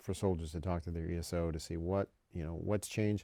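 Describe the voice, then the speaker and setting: This man's dark, mellow tone, with an American accent, comes through in a very clean recording against a silent background. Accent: northern US accent, slips out at times. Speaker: military education official. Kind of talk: podcast interview. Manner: many repetitions and false starts.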